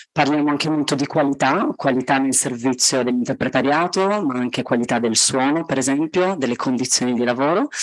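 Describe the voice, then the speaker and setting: The speaker talks at a fairly quick pace with very even loudness and ordinary pitch variation. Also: woman, very deep, low pitch for a woman. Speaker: conference interpreter, committee coordinator. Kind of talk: conference presentation. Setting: hybrid event with audience in a room.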